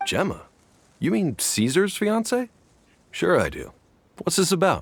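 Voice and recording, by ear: A man uses a put-on character voice, pitched high with vocal fry. His pitch swings very widely at a fairly slow pace.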